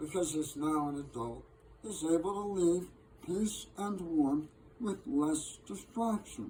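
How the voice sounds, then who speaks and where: The speaker moves at a fairly slow pace with lively intonation. Background noise is clearly present. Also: man, fairly high pitch for a man. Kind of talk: poetry reading. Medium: solo performance. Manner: measured, gently wry.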